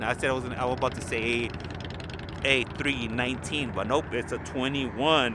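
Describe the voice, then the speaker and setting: Noticeable background noise sits behind this recording. A man speaks at a medium pitch and a moderate pace. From Los Angeles, California. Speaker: live stream plane spotting commentator. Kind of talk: live commentary. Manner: casual, chatty.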